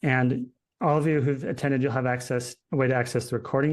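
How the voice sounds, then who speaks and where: A man with an American accent, an ordinary speaking voice and medium pitch, at a fairly quick pace against a quiet background. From Utah. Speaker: founder of a publishing services company, webinar presenter. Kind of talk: webinar Q&A. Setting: online webinar. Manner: conversational, with many fillers.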